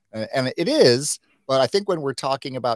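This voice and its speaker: Over a quiet background, a man's voice comes through dry, with no echo. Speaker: digital marketing consultant; guest. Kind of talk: live stream interview. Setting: video call. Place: home room. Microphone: webcam.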